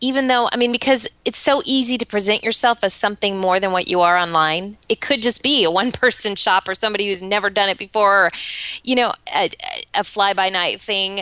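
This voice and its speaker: Recorded with a dry, close sound and no echo, a woman speaks at a fairly quick pace in a cheerful tone, with medium pitch, ordinary pitch variation and very even loudness. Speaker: business owner and podcast co-host. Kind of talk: casual chat. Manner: cheerful, smiling while talking.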